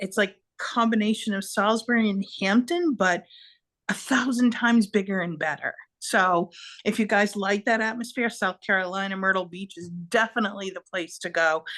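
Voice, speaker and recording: Talking at a moderate pace, a woman with a Boston accent has a medium pitch and ordinary pitch variation. Her loudness swings widely against a quiet background. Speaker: podcast co-host. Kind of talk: casual chat. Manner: animated.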